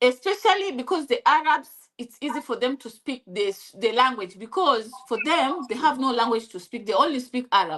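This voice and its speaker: A woman with a Kenyan accent and a high voice, moderate pace, very wide pitch swings. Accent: Kikuyu-accented English. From Kenya (Kikuyu). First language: Kikuyu. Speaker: interviewee sharing life story. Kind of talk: interview. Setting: live stream. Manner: halting.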